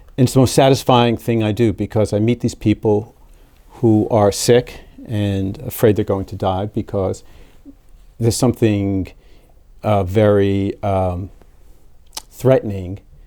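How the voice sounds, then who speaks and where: In an American accent, the speaker goes at a fairly slow pace with long, frequent pauses and a dark, mellow tone. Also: man, fairly low pitch for a man. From New York City (Brooklyn). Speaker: cardiologist. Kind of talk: interview conversation. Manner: halting, many repetitions.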